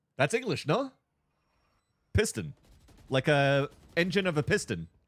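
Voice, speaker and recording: A man speaks at a moderate pace in a fairly high pitch, with vocal fry. The recording is very clean with a silent background, and the sound is dry and close with no echo. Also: long, frequent pauses. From Quebec. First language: French. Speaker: esports caster and streamer. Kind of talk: casual livestream chat. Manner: animated.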